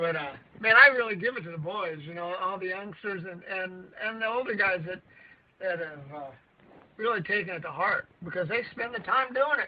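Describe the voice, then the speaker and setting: A man with a high pitch talks at a moderate pace, his loudness swinging widely. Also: ordinary pitch variation. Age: 70s. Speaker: bass angler. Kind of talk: casual chat. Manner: halting.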